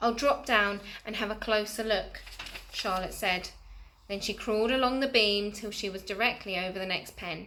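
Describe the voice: Ordinary pitch variation in a plain reading aloud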